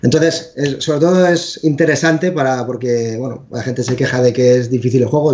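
A man talks in a somewhat breathy voice at a medium pitch. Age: 40s. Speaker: video game developer. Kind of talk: interview.

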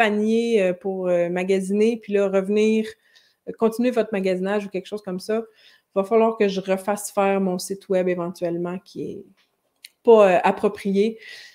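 Moderate pace, dark, mellow tone, and fairly even intonation against a quiet background. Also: woman. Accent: Quebec. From Quebec. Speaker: French language teacher and YouTuber; French language teacher, YouTuber. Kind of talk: live-stream lesson with viewer Q&A. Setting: live stream. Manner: conversational, with frequent hesitations. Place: home room. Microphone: webcam.

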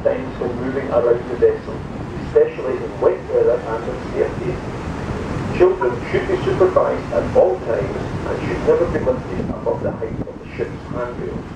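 A man speaks at a moderate pace amid loud background noise and audible room echo. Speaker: ship announcer. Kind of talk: safety announcement. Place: boat.

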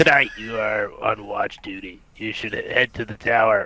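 The voice is a put-on character voice. It sounds raspy. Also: man, medium pitch for a man, moderate pace. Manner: regal, commanding.

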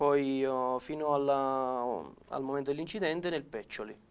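This man speaks with a fairly high pitch. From Campania, Naples province; Campania, Italy. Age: 20s. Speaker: amputee footballer and paratrooper; interviewee. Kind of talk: interview. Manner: halting, many repetitions and fillers. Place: studio. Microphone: lapel.

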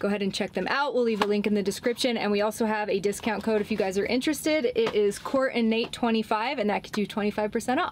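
A woman speaks at a very fast pace with hardly any pauses and ordinary pitch variation, over light background noise. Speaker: van life vlogger. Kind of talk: sponsor read, casual vlog chat. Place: car. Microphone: camera far.

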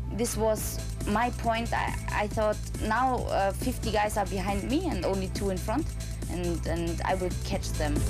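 The speech moves at a fairly slow pace over clear music in the background. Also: woman. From Germany. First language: German. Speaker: motorcycle racer. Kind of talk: interview answer. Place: office.

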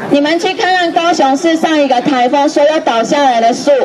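Over crowd noise in the background, a woman talks at a moderate pace with a high pitch and ordinary pitch variation. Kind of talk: protest speech. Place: street. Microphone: handheld.

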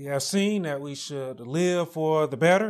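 Against a quiet background, the words come at a fairly slow pace. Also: man. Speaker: preacher. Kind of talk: sermon. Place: empty room. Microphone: lapel.

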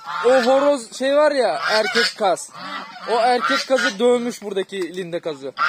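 The speech comes at a fairly slow pace over loud background noise. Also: dry sound with no echo. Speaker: farm vlogger. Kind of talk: casual vlog chat. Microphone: phone near.

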